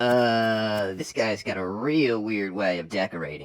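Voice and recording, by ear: Using a cartoonish character voice, a man speaks at a fairly slow pace and a fairly low pitch.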